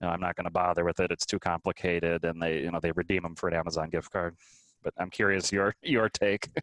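A man with an American accent speaks very fast in a very deep, low voice, his delivery monotone and flat, the sound dry and close with no echo. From US Midwest, Minnesota. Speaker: world traveler and travel blogger. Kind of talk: interview conversation.

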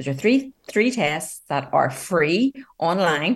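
Pitch swings very widely as a woman talks at a fairly slow pace. Her voice is somewhat breathy. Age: 50s. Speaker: relationship coach. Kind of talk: radio interview.

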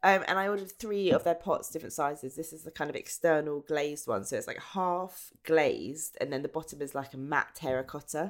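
In an English accent, the speaker moves at a fairly quick pace with hardly any pauses. Loudness swings widely throughout. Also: woman, very deep, low pitch for a woman, ordinary pitch variation. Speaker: podcast co-host. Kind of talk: casual chat. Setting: remote call from home.

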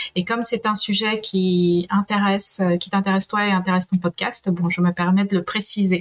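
Against noticeable background noise, a woman speaks at a moderate pace and medium pitch, her intonation monotone and flat. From Peru. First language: Spanish (speaking French). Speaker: historian and university professor. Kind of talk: interview.

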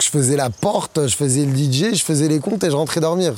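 An animated man with a fairly high pitch speaks over noticeable background noise. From Morocco. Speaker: DJ and music producer. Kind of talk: interview monologue.

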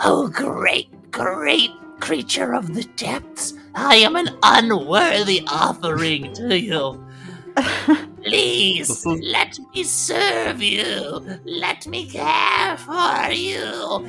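Someone does a put-on character voice at a very slow pace while clear music plays in the background. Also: man, high pitch for a man. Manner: groveling, pleading, reverent.

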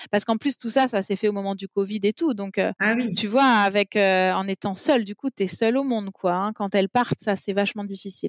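A plain, everyday voice moves at a fairly quick pace with hardly any pauses. Pitch varies in an ordinary way, and the sound is dry and close with no echo. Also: woman, medium pitch for a woman. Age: 30s. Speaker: mother and parenting blogger. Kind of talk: casual interview about personal life. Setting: remote call.

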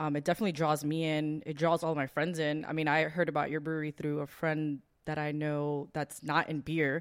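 A woman with a very deep, low pitch talks at a fairly quick pace in a monotone, flat delivery. The recording is very clean, with a silent background. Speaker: podcast co-host. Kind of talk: casual chat.

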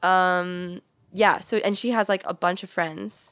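An American-accented woman with an ordinary speaking voice, medium pitch and ordinary pitch variation, on a very clean recording with a silent background. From US Midwest, St. Louis. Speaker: podcast guest. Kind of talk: casual chat.

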